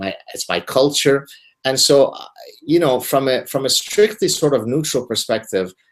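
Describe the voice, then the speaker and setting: At a moderate pace, a man talks in a fairly high pitch with an Arabic accent. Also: lively intonation. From Lebanon. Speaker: professor. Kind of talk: casual chat.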